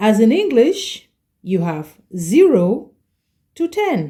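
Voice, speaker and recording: The voice is dark and mellow, somewhat breathy, and very slow, with lively intonation. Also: woman. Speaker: French language teacher. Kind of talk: tutorial. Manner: slow, careful pronunciation.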